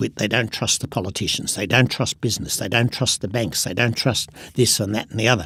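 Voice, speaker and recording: A man with an Australian accent and a medium pitch. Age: 70s. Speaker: business innovator. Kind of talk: interview.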